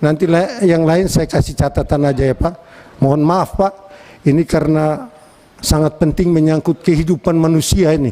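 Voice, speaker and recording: Over noticeable background noise, a man with a fairly high pitch speaks at very even loudness with ordinary pitch variation. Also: moderate pace. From East Nusa Tenggara, Indonesia (Atambua, Timor). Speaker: member of parliament. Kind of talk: parliamentary hearing speech. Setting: committee meeting room. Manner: firm and direct.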